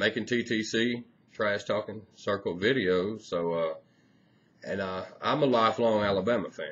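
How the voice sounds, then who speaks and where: A man does the talking. Ordinary pitch variation runs through his speech. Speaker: sports fan vlogger. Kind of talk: casual vlog chat. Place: home room. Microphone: webcam.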